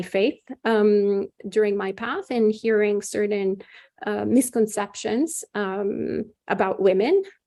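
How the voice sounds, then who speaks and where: With an Italian accent, a woman talks at a fairly slow pace in a dark, mellow tone, her medium pitch held in fairly even intonation. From Italy. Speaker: Buddhist nun. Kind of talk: dharma talk. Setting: video call. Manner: hesitant, many fillers.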